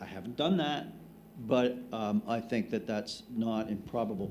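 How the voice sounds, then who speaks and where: There is audible room echo as a man with a dark, mellow tone speaks at a moderate pace with ordinary pitch variation. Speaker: cosmologist. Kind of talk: conference panel discussion. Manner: loud.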